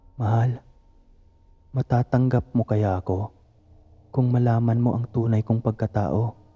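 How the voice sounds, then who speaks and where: A man with a medium-pitched, somewhat breathy voice and a dark, mellow tone speaks at very even loudness, leaving long, frequent pauses. The sound is dry and close, with no echo. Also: fairly slow pace. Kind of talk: ghost story telling.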